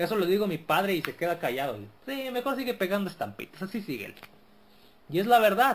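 A man's high voice rushes along fairly quickly, its pitch swinging very widely. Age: 40s. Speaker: podcast host. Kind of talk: casual monologue.

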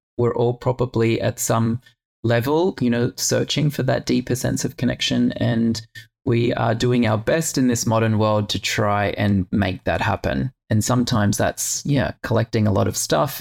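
A man talks in a normal speaking voice at medium pitch and a moderate pace, with ordinary pitch variation. His loudness stays very even, and the sound is dry and close with no echo. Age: 40s. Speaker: podcast host and yoga teacher. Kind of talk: casual interview chat.

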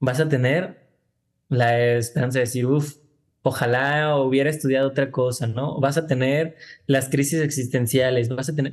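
A man's medium-pitched, monotone, flat delivery at a moderate pace over a quiet background. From Guadalajara, Jalisco, Mexico. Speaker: filmmaker. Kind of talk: interview. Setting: video call. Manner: casual, slangy street speech.

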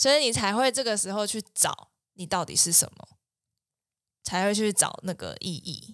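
A woman's medium-pitched voice at a moderate pace, with ordinary pitch variation, big swings in loudness, and long, frequent pauses. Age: 20s. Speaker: clinical psychologist. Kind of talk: casual chat.

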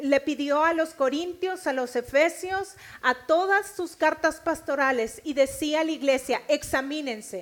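A woman's high-pitched voice with a northern Mexican accent. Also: ordinary pitch variation, moderate pace. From Mexico, Nuevo León. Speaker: preacher. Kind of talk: sermon.

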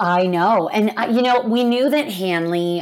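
A woman with an American accent uses an unremarkable speaking voice, ordinary pitch variation and a moderate pace. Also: very clean recording, silent background. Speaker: podcast host, corporate people leader. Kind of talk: casual chat.

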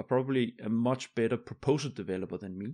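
A man with a Danish accent talks at a medium pitch on a very clean recording with a silent background. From Denmark. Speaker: podcast host. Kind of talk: casual interview chat.

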